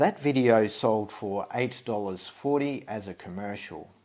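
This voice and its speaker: With an Australian accent, a man talks with ordinary pitch variation. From Australia (Tasmania). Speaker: stock photographer and video creator. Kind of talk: tutorial. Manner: hesitant, many fillers.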